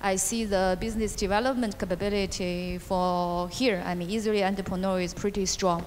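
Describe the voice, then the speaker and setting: A woman with a Chinese accent at medium pitch, monotone and flat in intonation, fairly quick with hardly any pauses, plus audible room echo. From China. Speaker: venture capital investor. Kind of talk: panel interview. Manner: halting.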